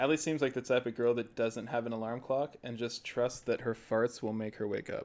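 A man with a normal speaking voice talks at a medium pitch and a fairly quick pace, his intonation fairly even. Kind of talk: casual chat.

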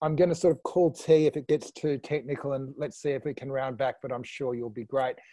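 With an Australian accent, a man talks at a fairly quick pace with hardly any pauses, using a fairly high pitch, fairly even intonation and a dark, mellow tone, in a dry, close sound with no echo. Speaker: online panel host. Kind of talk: casual panel discussion. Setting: video call.

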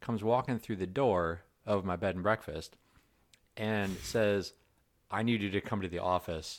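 Recorded very cleanly against a silent background, a man speaks at a moderate pace with fairly low pitch and ordinary pitch variation. He has an ordinary speaking voice. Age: 40s. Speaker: podcast host and developer. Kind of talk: casual chat. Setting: office in a warehouse.

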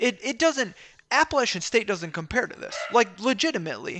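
A man speaks in a raised, projected voice with a bright, sharp tone. His pace is moderate and his pitch swings very widely. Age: 20s. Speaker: sports podcast co-host. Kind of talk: casual chat. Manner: animated.

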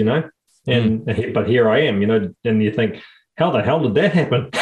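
A man with a New Zealand accent talks at a fairly quick pace. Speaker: podcast co-host. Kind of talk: casual chat.

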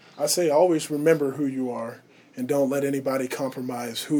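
A man's monotone, flat delivery at a fairly quick pace, over noticeable background noise. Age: 20s. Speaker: college student athlete and church elder. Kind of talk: radio interview. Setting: radio studio booth.

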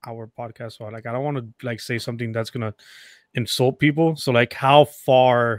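A man's unremarkable speaking voice at medium pitch, with fairly even intonation, dry, close sound with no echo, and a very clean recording with a silent background. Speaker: podcaster. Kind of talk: casual chat.

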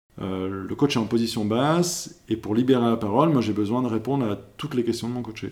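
A normal speaking voice from a man at a medium pitch, fairly quick with hardly any pauses and ordinary pitch variation. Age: 30s. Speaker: professional coach. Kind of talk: interview podcast.

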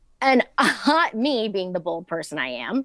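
In an American accent, a woman with a medium pitch and vocal fry swings very widely in pitch, the sound dry and close with no echo. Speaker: TikTok creator who recently lost her sight. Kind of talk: casual interview.

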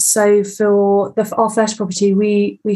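The voice has a dark, mellow tone. It is also somewhat breathy. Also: woman. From south-east England, Bexhill-on-Sea. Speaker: property investor. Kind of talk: interview.

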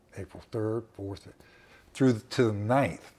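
This man's voice has a dark, mellow tone, fairly low in pitch and somewhat breathy. He talks at a moderate pace with ordinary pitch variation. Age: 60s. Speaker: survivor telling his story. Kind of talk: personal interview storytelling. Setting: recorded conversation in a home.

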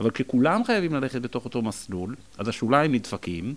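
A man talks at a moderate pace and medium pitch, with lively intonation. His is an ordinary speaking voice. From Israel, Jerusalem. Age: 40s. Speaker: school principal. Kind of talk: interview conversation.

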